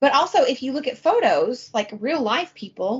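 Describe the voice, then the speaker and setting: A woman's voice with very wide pitch swings. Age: 30s. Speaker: podcast co-host. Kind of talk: casual chat.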